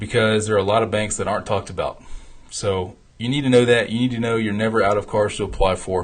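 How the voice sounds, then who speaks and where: A man talking at a very fast pace, fairly low in pitch. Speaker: founder and host of a travel rewards show. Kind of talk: live stream talk. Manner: animated.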